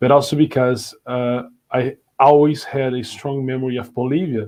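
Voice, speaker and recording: A man with a Brazilian Portuguese accent talks at a medium pitch with fairly even intonation. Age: 30s. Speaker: education company director, conference speaker. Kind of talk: conference talk. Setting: virtual conference. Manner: hesitant, many fillers.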